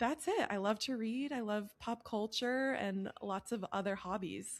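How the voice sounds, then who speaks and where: Fairly high in pitch, a woman talks at a fairly slow pace in an unremarkable speaking voice. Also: ordinary pitch variation. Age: 30s. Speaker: podcast co-host. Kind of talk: casual chat.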